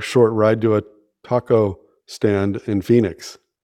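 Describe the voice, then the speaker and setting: A man with an American accent speaks at a fairly slow pace and a medium pitch. His tone is dark and mellow, his intonation fairly even, against a quiet background. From US, San Francisco Bay Area. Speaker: podcast co-host. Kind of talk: casual chat.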